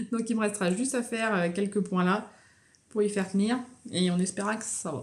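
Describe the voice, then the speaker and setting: A woman speaks in a somewhat breathy voice. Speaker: knitting vlogger. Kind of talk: casual vlog chat.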